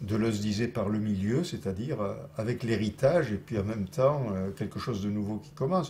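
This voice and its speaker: Moving at a moderate pace, the delivery has a somewhat breathy quality. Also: man. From Toulouse. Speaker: political activist and intellectual. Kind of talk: interview answer.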